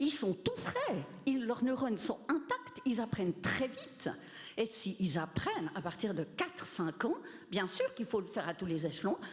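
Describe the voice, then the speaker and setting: A woman's voice with very wide pitch swings, amid noticeable background noise. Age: 60s. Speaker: retired teacher, audience member. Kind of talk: audience remark.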